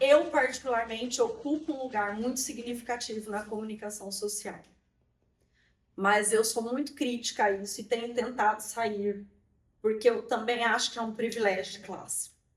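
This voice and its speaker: A woman with a Brazilian accent speaks at a moderate pace and a fairly high pitch. Her intonation is fairly even, though her loudness swings widely. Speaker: immigrant rights activist. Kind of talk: interview testimony. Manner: halting.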